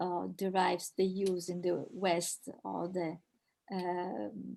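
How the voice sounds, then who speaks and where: A woman with an Italian accent speaks at a very slow pace. Her tone is dark and mellow. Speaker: professor. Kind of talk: Q&A after academic talk. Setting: video call webinar. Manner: halting, many repetitions.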